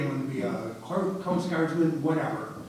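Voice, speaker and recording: A moderate pace and fairly even intonation in an American accent, with audible room echo and noticeable background noise. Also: man. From Detroit, Michigan. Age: 70s. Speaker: war veteran. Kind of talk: testimony.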